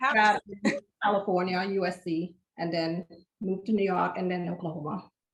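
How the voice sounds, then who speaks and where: A woman's medium-pitched voice moves fairly quickly, its intonation fairly even. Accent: slight Caribbean. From Caribbean, St. Thomas, US Virgin Islands. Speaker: optometrist. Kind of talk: casual podcast interview.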